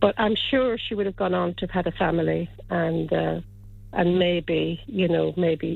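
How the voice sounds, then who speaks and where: With an Irish accent, a woman speaks at a moderate pace. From Ireland, County Kilkenny. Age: 70s. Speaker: listener seeking lost friend. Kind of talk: radio interview. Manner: halting, many fillers and repeats.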